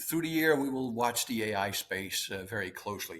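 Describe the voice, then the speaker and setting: A man speaks at a moderate pace with a strong Dutch accent. His tone is bright and sharp, and his pitch swings very widely. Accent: thick Dutch. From Netherlands. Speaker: interviewer, co-editor. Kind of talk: interview conversation.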